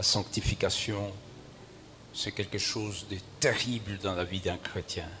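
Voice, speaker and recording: Over noticeable background noise, a man speaks at a very slow pace in a fairly low, monotone, flat voice, with long, frequent pauses. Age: 70s. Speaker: bishop. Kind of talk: sermon. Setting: church.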